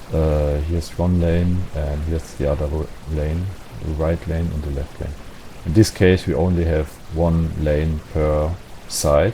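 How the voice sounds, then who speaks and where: A man with a non-native accent and a very deep, low pitch, fairly slow and monotone, flat in intonation, with noticeable background noise. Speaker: game modding tutorial creator. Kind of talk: tutorial. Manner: hesitant, many fillers.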